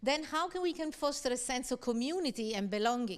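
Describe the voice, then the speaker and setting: A woman with an Italian accent speaks at a moderate pace in a high voice with lively intonation. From Italy. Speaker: university lecturer. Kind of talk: lecture. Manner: conversational, frequent fillers like okay.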